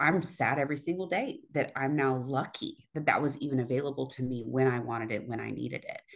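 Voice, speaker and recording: A woman speaks at a fairly quick pace in a very deep, low voice with ordinary pitch variation against a quiet background. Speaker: interview guest. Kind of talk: interview answer. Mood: earnest, frustrated. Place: home room. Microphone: video call.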